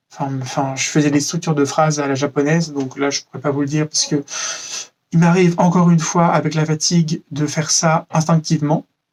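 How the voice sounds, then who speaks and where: Here a man speaks at a fairly quick pace with a fairly high pitch. His intonation is monotone and flat. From France. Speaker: vlogger. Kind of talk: casual vlog monologue.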